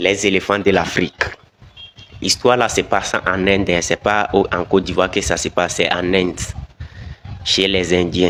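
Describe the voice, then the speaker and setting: The intonation is monotone and flat, broken by long, frequent pauses. Background noise is noticeable throughout. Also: man, very deep, low pitch for a man, moderate pace. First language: not French (speaking French). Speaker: video commentator. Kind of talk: video commentary.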